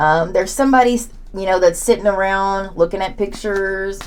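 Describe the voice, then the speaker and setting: With an Oklahoma accent, a woman talks at a moderate pace and medium pitch, with ordinary pitch variation and audible room echo. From southern Oklahoma. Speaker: tarot reader. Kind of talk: tarot reading. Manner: hesitant with fillers.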